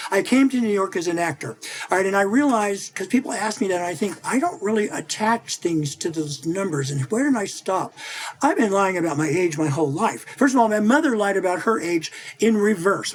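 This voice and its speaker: A man speaks in an animated tone at a high pitch. His pace is fairly quick and his intonation lively. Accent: American. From US Midwest, central Missouri. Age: 60s. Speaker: image consultant and author. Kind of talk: interview. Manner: animated, conversational.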